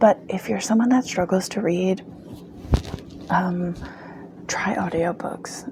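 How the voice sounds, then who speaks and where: Soft-spoken and fairly low in pitch, a woman talks at a fairly slow pace over noticeable background noise. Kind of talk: casual talk to camera, book review. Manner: soft-spoken, ASMR-style.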